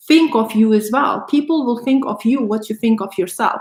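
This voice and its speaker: The pitch varies in an ordinary way. The voice is somewhat breathy. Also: woman. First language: not English. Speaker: motivational YouTuber. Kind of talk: live stream monologue. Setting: solo live stream at home. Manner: animated.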